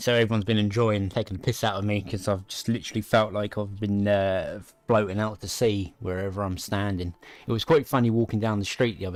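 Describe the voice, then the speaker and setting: Mumbling at a very fast pace, a man with a British accent speaks in a fairly low voice. The recording is very clean, with a silent background. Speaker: tech livestreamer. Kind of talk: casual livestream chat. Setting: livestream.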